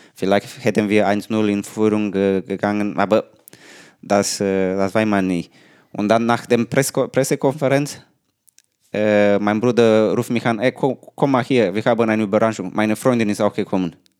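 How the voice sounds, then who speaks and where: A man speaks at a moderate pace with a Romanian accent, his fairly low voice held in a fairly even intonation. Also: very clean recording, silent background. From Romania, Buzău. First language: Romanian (speaking German). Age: 30s. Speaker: professional table tennis player. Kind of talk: casual interview. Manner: halting.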